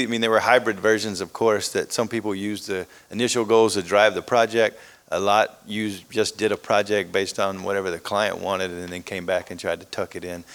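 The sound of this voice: With an Alabama accent, a man talks at a fairly quick pace in a fairly low pitch, showing ordinary pitch variation and big swings in loudness, in a very clean recording with a silent background. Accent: Southern American, Alabama.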